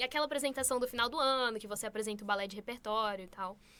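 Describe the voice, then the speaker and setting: Bright and sharp in tone, a woman talks with ordinary pitch variation. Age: 20s. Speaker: beauty pageant contestant. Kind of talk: interview.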